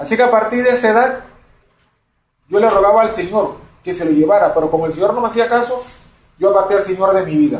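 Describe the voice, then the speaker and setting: With audible room echo, a man speaks at a very fast pace with long, frequent pauses, a high pitch and ordinary pitch variation. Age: 60s. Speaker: retired banker. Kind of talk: testimony.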